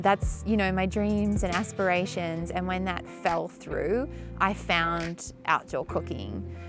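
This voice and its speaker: A woman with an Australian accent at a very slow pace, with music in the background. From Tasmania, Australia. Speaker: chef. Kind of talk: interview answer.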